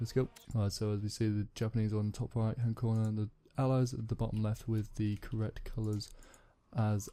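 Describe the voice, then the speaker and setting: A dark, mellow voice speaks at a moderate pace in a flat monotone, captured in a very clean recording with a silent background. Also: man. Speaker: gaming commentator. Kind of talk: live game commentary. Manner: halting, many fillers and restarts.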